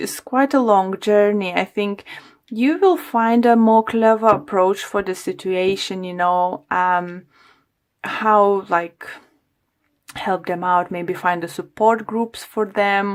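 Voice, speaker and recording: This woman's pitch variation is ordinary. She talks at a very slow pace. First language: not English (English is third language). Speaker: tarot reader. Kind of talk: tarot reading. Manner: halting.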